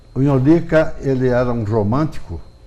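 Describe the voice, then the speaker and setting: There is audible room echo on this recording. A man speaks at a moderate pace. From Brazil, Piracicaba (São Paulo interior). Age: 70s. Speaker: journalist and writer. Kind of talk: TV interview.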